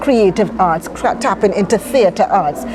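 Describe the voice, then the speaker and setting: A woman with a Trinidadian accent talks at a moderate pace and a medium pitch, with ordinary pitch variation and noticeable background noise. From Trinidad, East Port of Spain (Laventille). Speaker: charity founder. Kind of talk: interview.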